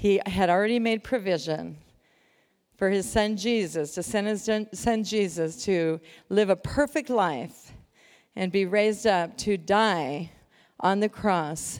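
At a fairly slow pace, the speaker uses a normal speaking voice with ordinary pitch variation, on a very clean recording with a silent background. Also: woman. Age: 60s. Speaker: lay speaker. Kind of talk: sermon.

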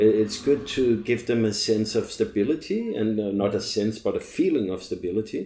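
Speaking with a Danish accent at a moderate pace, the man leaves hardly any pauses. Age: 40s. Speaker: long-term traveling parent. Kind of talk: casual chat.

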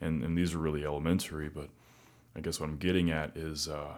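This man talks with an American accent. His pitch is very deep and low. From Arkansas, US South. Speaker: podcast guest. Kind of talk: casual chat.

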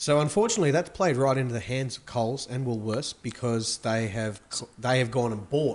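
Amid noticeable background noise, a speaker with an Australian accent shows big swings in loudness. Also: man. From Australia, Melbourne. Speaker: wine merchant. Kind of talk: casual chat.

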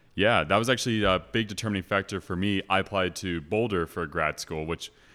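On a very clean recording with a silent background, a man with an American accent talks very fast in a bright, sharp tone with fairly even intonation. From California, Los Angeles area. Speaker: grad student. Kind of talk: casual chat.

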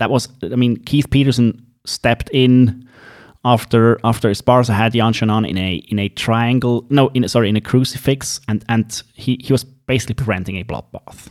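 Fairly even intonation at a moderate pace comes through in a dry, close sound with no echo. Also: man, medium pitch for a man. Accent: Swiss. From Switzerland. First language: not English (Swiss). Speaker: MMA podcast host. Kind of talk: casual chat about MMA events.

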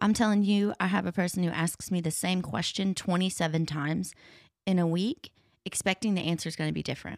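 A woman with an ordinary speaking voice talks at a fairly quick pace and fairly low pitch, her intonation fairly even. The recording is very clean, with a silent background. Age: 30s. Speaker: podcast co-host. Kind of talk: casual chat. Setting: studio.

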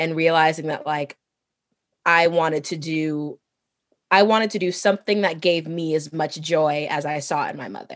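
Against a quiet background, a woman talks in an ordinary speaking voice. Her pitch is fairly low and her intonation fairly even. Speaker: Broadway actress. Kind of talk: casual chat.

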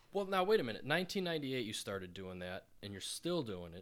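Very fast male speech at medium pitch, swinging very widely in pitch, on a very clean recording with a silent background. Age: 30s. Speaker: podcast host. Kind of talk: casual chat. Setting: studio.

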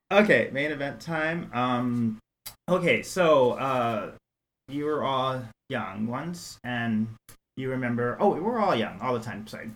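An unremarkable speaking voice with an American accent moves at a fairly slow pace, its intonation lively. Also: man, medium pitch for a man. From New York City. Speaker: math professor. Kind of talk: casual interview.

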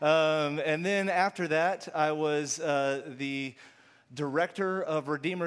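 A plain, everyday voice: a man with an American accent, fairly high pitch and fairly even intonation. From Texas, Houston. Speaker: pastor. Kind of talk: sermon.

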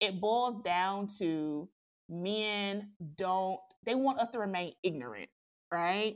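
A woman speaks at a very slow pace with long, frequent pauses, her medium pitch showing ordinary variation in a very clean recording with a silent background. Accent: American. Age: 30s. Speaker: sex educator. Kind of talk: interview. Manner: halting.

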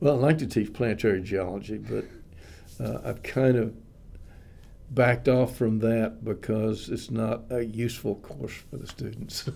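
A man with an American accent and medium pitch, vocal fry, ordinary pitch variation and a moderate pace. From Texas. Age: 70s. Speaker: retired geology professor. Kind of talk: interview.

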